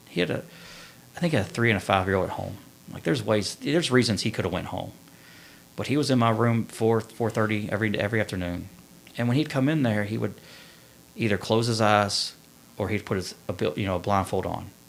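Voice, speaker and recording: A man talks at a very fast pace. His speech is broken by long, frequent pauses. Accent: Kentucky. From central Kentucky (Winchester). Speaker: Marine Corps veteran. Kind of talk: testimony.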